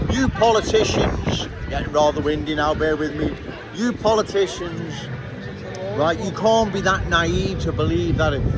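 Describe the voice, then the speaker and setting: A man with a Liverpool accent at a moderate pace, with audible room echo and noticeable background noise. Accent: Scouse. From Liverpool, England. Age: 60s. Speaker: political commentator. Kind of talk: street monologue. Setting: outdoors on a city street.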